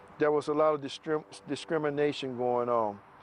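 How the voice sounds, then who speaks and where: A man with an American accent, fairly slow and fairly even in intonation, over background music. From US South, Macon, Georgia. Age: 50s. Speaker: retired army soldier. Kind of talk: testimony. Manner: halting, many fillers.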